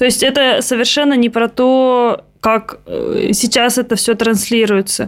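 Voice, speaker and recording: High-pitched, a woman speaks at a very slow pace with hardly any pauses. Her loudness is very even and her intonation fairly even. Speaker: podcast host and producer. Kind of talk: casual interview.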